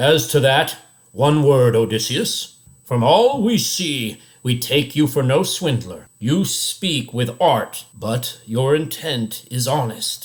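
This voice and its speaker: A man's put-on character voice, medium in pitch, fairly slow and with lively intonation. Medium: read story. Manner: commanding.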